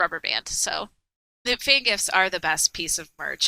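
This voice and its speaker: A woman's animated, bright and sharp voice at a moderate pace, dry and close with no echo. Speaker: podcast panelist. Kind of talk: casual chat. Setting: online voice chat.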